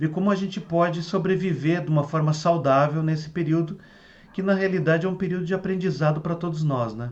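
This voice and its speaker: Speaking at a moderate pace, this is a man. His pitch sits fairly high. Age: 60s. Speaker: Ayurveda therapist and teacher. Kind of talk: online talk to students. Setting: video call. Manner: halting with repetitions.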